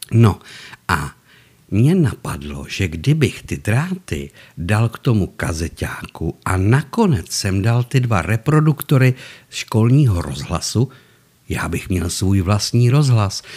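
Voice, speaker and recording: Somewhat breathy and fairly low-pitched, a man talks at a very slow pace with very wide pitch swings, on a very clean recording with a silent background. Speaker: storyteller. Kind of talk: storytelling monologue. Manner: animated; stutter.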